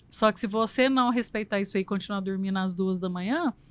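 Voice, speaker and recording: Over a silent background in a very clean recording, a woman talks at a very fast pace. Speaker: nutritionist. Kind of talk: interview answer.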